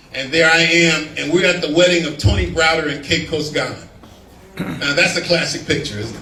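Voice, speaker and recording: An American accent at a fairly quick pace, with audible room echo and noticeable background noise. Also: man. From Los Angeles, US. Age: 60s. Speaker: historian and lecturer. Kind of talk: lecture.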